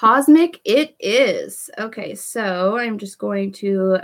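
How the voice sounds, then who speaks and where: Woman with an animated tone and ordinary pitch variation. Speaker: beauty vlogger. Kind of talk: live makeup tutorial chat. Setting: livestream. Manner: quiet while concentrating.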